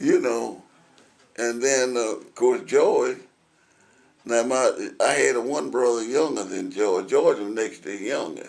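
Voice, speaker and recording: A man with a Tennessee accent talks at a fairly slow pace. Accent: Southern US, Tennessee. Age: 90s. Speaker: oral history interviewee. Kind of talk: oral history interview. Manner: halting, repetitive.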